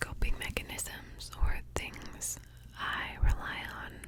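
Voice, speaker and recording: A woman is whispering in a soothing tone. Noticeable background noise sits behind her. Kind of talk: ASMR whisper ramble, intimate talk to camera. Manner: whispered, slow, soothing.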